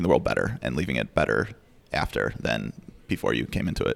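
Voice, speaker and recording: A man speaks with an American accent. Vocal fry runs through his voice. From Chicago. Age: 20s. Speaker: law clerk. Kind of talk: interview. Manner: hesitant, frequent fillers.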